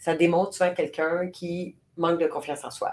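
The woman's voice sits at a fairly low pitch. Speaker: podcast co-host. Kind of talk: casual chat. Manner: voice carries when passionate.

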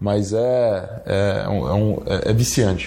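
Somewhat breathy, this voice carries a dark, mellow tone. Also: man. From Brazil, Espírito Santo (Guarapari). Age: young. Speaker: retail entrepreneur. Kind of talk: interview. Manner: casual, filler-heavy.

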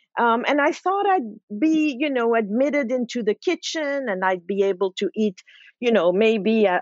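Speaking at a moderate pace, a woman uses a fairly high pitch and lively intonation. She has a slight French accent. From Switzerland. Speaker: food author. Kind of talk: interview.

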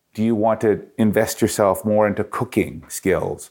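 A man with a Canadian accent speaks at a moderate pace and a medium pitch, in an ordinary speaking voice. The recording is very clean, with a silent background. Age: 50s. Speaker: author and speaker, former radio host and jazz singer. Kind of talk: interview.

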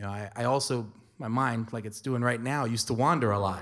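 A man with an unremarkable speaking voice talks at medium pitch and a fairly quick pace in an American accent. The recording is very clean, with a silent background. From New York City (Spanish Harlem, South Bronx). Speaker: lecturer and storyteller. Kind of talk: storytelling performance.

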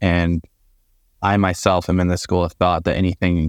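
With an American accent, the voice moves at a moderate pace, dry and close with no echo, on a very clean recording over a silent background. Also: man. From Florida. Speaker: recruitment outsourcing director. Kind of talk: interview.

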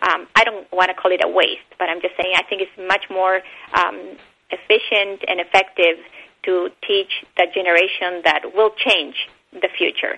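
Speaking at a moderate pace with a Spanish accent, a woman keeps a medium pitch and a monotone, flat intonation. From Bolivia and Argentina. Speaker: animal rights educator. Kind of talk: interview.

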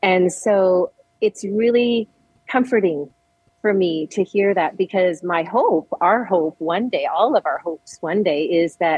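At a fairly slow pace, a plain, everyday voice speaks in a Canadian accent with ordinary pitch variation. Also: woman, medium pitch for a woman. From Edmonton, Alberta. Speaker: bereaved parent, charity volunteer. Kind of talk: interview, personal testimony.

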